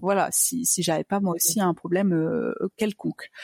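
A normal speaking voice from a woman at medium pitch, with fairly even intonation and a dry, close sound with no echo, on a very clean recording against a silent background. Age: 30s. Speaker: entrepreneur sharing fertility journey. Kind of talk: interview testimony.

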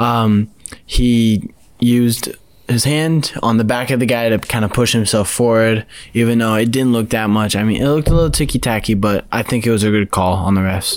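Moving at a moderate pace, a man in a plain, everyday voice keeps a medium pitch, fairly even intonation and very even loudness. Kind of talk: casual sports talk.

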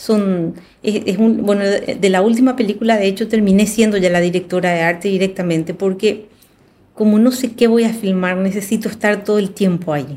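This woman has a medium pitch and a dark, mellow tone. She speaks at a moderate pace with fairly even intonation. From Paraguay. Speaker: film director. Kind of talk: casual chat.

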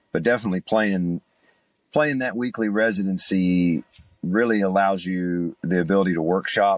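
A man at a fairly low pitch and fairly slow pace, dry and close with no echo. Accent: East Tennessee. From East Tennessee (Chattanooga). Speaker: bluegrass singer and guitarist. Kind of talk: interview. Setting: remote call.

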